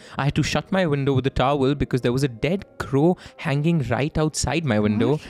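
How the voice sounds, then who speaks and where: A man's fairly high voice at a fairly quick pace, with hardly any pauses, ordinary pitch variation, and noticeable background noise. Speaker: podcast host. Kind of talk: horror story narration read aloud. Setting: studio.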